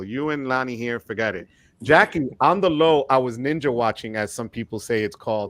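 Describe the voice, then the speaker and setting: At a fairly quick pace, a man speaks in a plain, everyday voice at medium pitch. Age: 50s. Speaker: credit card YouTuber. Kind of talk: casual chat.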